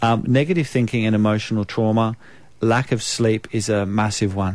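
Against a quiet background, a man with a New Zealand accent speaks at a fairly low pitch, his intonation fairly even and his loudness very even. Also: moderate pace. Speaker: naturopath, radio guest. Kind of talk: informal explanatory health advice.

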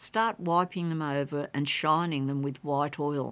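In an Australian accent, a woman speaks at a fairly slow pace with a very deep, low pitch. The recording is very clean, with a silent background. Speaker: gardening expert. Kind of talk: radio talkback. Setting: studio.

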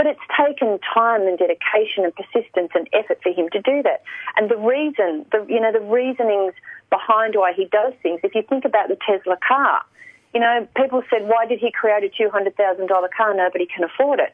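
A woman with an Australian accent, fairly high pitch, ordinary pitch variation, a fairly quick pace and very even loudness. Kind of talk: radio interview. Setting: radio.

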